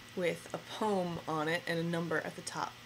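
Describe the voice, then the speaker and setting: A woman's fairly slow, flat, monotone speech in an American accent, with noticeable background noise. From northern New Jersey. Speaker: interviewee. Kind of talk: personal account. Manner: halting, with fillers.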